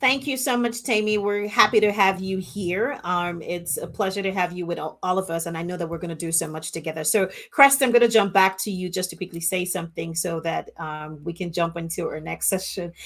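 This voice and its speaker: A woman's medium pitch in an African accent, at a fairly quick pace with ordinary pitch variation and hardly any pauses. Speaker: global chair hosting a launch event. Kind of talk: virtual event hosting. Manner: informal, chatty.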